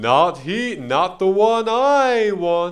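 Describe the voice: In a put-on character voice, a man speaks at a very slow pace with a high pitch and big pitch swings.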